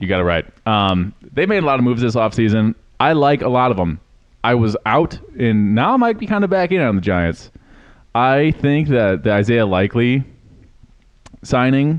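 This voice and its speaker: Speaking at a medium pitch and a moderate pace, a man uses lively intonation. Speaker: football podcast co-host. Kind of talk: casual chat. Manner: loud. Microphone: volume varies with unstable connection.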